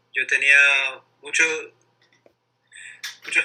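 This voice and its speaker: At a very slow pace, a man is speaking. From Ecuador, Guayaquil (coast). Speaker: interviewee, bilingual speaker. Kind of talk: casual interview. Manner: halting, many repetitions and fillers.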